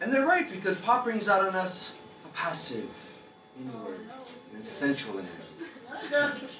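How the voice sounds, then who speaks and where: With an American accent, a man talks at a moderate pace with high pitch and very wide pitch swings. Clear music plays in the background, and audible room echo is present. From United States. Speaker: stand-up comedian. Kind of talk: stand-up comedy set. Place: bar. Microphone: camera far.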